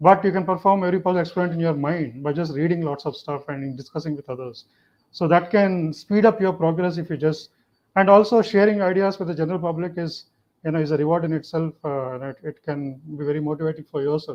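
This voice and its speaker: A very fast-talking man with a fairly high voice and ordinary pitch variation. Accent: Telugu. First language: Telugu. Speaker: neuroscience professor. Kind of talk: panel discussion.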